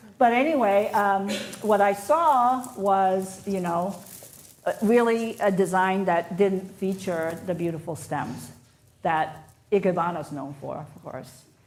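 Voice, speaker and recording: Delivery comes at a very slow pace with lively intonation and big swings in loudness. Room echo is clearly audible. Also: woman, medium pitch for a woman. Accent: Japanese. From Japan, moved to North America at twelve. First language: Japanese. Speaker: floral designer. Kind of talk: live demonstration. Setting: stage with audience, livestreamed.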